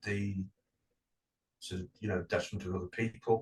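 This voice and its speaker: Here a man talks with a British accent. His fairly low voice is somewhat breathy. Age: 40s. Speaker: podcast co-host. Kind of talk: casual chat. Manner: slow; halting, many fillers.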